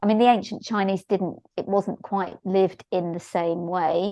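Here a woman talks at a moderate pace. She has a normal speaking voice. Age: 60s. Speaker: shiatsu therapist and teacher. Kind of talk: interview conversation.

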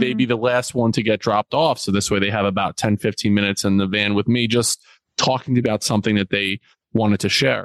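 An ordinary speaking voice from a man with an American accent, medium in pitch, fairly quick, with fairly even intonation and a dry, close sound with no echo. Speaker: school principal and youth mentor. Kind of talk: interview conversation.

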